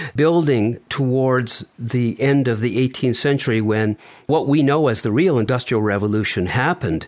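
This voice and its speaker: A man's voice, medium in pitch, with very even loudness throughout. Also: ordinary pitch variation, moderate pace, hardly any pauses. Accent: German. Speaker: podcast co-host. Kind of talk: casual chat.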